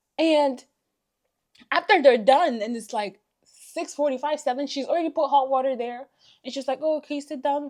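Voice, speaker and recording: An animated woman with a high voice talks at a moderate pace with ordinary pitch variation, big swings in loudness, and long, frequent pauses. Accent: non-native. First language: not English. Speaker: beauty vlogger. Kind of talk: storytime vlog.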